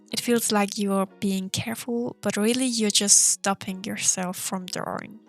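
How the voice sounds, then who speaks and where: Over music in the background, a woman with a non-native accent speaks at a fairly slow pace in a dry, close sound with no echo. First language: not English. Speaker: art content creator. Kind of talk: casual chat while drawing. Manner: hesitant, with filler words.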